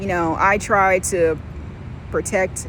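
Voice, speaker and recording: Against noticeable background noise, a woman with a fairly low pitch speaks very slowly in a monotone, flat intonation. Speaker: vlogger. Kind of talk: casual storytelling vlog. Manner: loud; casual, filler-heavy.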